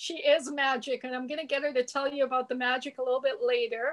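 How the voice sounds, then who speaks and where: In a Canadian accent, a woman speaks with a high pitch. Her pace is fairly quick. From Canada. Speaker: interview host. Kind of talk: interview.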